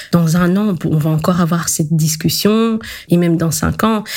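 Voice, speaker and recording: The speaker has an unremarkable speaking voice, moving at a fairly slow pace with ordinary pitch variation. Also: woman. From Belgium, Congolese parents. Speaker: decolonial activist. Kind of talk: life-story interview.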